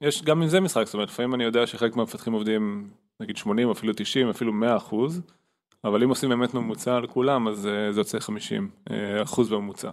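A man at a medium pitch and a very fast pace, with ordinary pitch variation. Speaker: podcast co-host. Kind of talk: casual chat.

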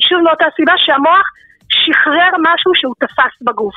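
A woman speaks with extremely high pitch. Her intonation is lively. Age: 40s. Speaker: interviewee sharing personal story of depression. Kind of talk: testimony.

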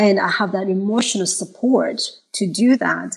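Somewhat breathy delivery with ordinary pitch variation. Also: woman. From Malawi and Zimbabwe. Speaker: mental health therapist. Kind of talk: panel discussion.

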